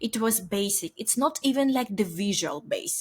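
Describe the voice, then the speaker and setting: A woman with a Ukrainian accent and ordinary pitch variation. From Ukraine. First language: Ukrainian or Russian. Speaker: software company founder. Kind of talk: interview. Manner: halting.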